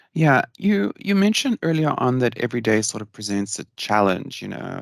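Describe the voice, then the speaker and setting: A plain, everyday voice from a man, medium pitch, ordinary pitch variation, fairly quick pace, with a dry, close sound with no echo and a very clean recording, silent background. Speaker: podcast host. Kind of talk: podcast interview questions.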